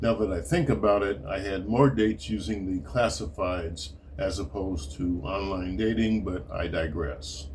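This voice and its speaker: A man with a very deep, low pitch speaks at a moderate pace with lively intonation and hardly any pauses. His voice is somewhat breathy, with audible room echo. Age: 70s. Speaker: retired writer and martial arts teacher. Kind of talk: reading aloud.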